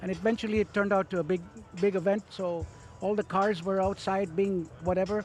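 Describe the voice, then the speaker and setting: Music plays in the background as a man with a high pitch talks at a fairly quick pace in a monotone, flat intonation. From India (Calcutta), Armenian parents. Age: 70s. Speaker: cricket fan. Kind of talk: casual interview. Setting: outdoors at stadium with crowd. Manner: halting.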